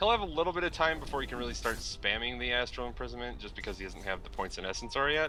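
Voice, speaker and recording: A man's very fast speech with hardly any pauses, over music in the background. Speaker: esports co-caster. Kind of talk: live esports commentary.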